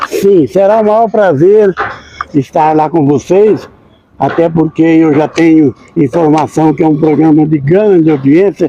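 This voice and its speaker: At a fairly slow pace, a man with a fairly high pitch and ordinary pitch variation keeps a very even loudness while noticeable background noise sits behind him. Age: 70s. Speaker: accordion player. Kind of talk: interview.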